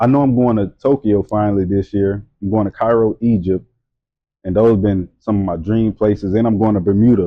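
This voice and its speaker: A fairly low-pitched man with a Louisiana accent, fairly quick in pace and fairly even in intonation. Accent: Louisiana Southern US. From Louisiana, Hammond. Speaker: model and entrepreneur. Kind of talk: casual chat. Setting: studio, during tattoo session.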